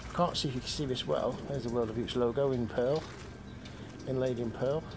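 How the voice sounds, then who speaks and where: Quiet and at a very fast pace, a man with an English accent speaks at a medium pitch with fairly even intonation, and audible room echo surrounds him. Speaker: ukulele hobbyist. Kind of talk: unboxing video. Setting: outdoors.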